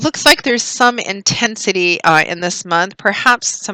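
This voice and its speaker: A woman's moderate-paced speech shows ordinary pitch variation, with noticeable background noise behind her. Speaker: tarot reader. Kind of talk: tarot reading. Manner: halting.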